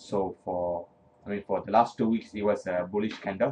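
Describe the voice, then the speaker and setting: The speaker talks at a moderate pace. Pitch variation is ordinary. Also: man. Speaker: forex trading educator. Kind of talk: tutorial. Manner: hesitant with many fillers.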